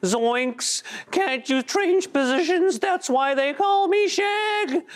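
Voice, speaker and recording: An extremely high, put-on character voice comes at a very slow pace. Light background noise sits behind it. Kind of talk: comic, jokey.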